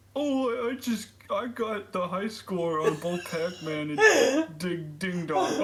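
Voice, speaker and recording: A man does a put-on character voice, high in pitch with lively intonation. He goes at a fairly slow pace with hardly any pauses. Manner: slow and dopey.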